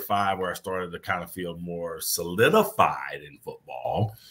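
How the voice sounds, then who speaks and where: This is an unremarkable speaking voice from a man with an American accent. He keeps a moderate pace and uses lively intonation. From Kansas, US. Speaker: former pro football player, players' affairs director. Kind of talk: interview. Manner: repetitive false starts.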